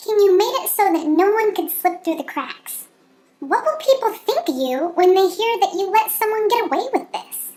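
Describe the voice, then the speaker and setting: Putting on a squeaky character voice, a woman speaks at a moderate pace with an extremely high pitch and lively intonation. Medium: read story. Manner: wheedling, smug.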